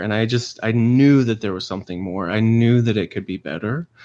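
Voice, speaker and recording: Against a quiet background, a man speaks at a medium pitch and a fairly quick pace. His pitch varies in an ordinary way. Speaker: intimacy coach. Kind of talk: interview. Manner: calm, measured.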